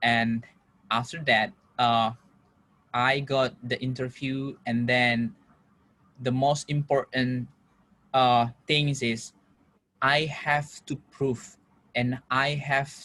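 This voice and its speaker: Here a man talks at a very slow pace, his tone bright and sharp. His pitch is medium and his intonation fairly even. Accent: Indonesian. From Indonesia. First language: Indonesian. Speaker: international student. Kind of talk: interview. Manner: halting, with filler words.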